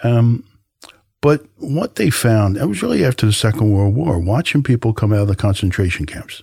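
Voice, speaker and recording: A man speaks at a moderate pace with lively intonation and a fairly low pitch. His tone is dark, mellow and somewhat breathy. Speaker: health service counsellor. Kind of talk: casual interview chat.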